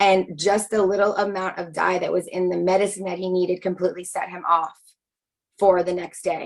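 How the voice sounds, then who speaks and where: A woman talks at a medium pitch. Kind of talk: video call presentation. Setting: video call. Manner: fast.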